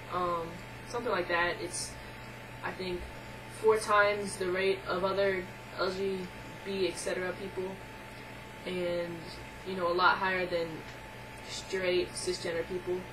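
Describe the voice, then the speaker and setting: A woman speaks at a fairly slow pace in a monotone, flat intonation, with long, frequent pauses, audible room echo and noticeable background noise. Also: medium pitch for a woman. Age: 20s. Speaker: video blogger. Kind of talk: casual vlog monologue. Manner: hesitant, many filler words.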